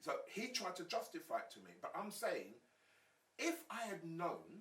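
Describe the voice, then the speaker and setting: Speaking at a moderate pace, a man with a London accent shows big swings in loudness. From South London, England. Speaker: former gang leader, gang activist. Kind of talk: podcast interview.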